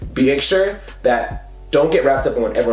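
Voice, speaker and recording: A man talks at a very fast pace. Music plays in the background and the room echo is audible. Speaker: fitness coach and YouTuber. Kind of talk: casual tutorial talk to camera. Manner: animated.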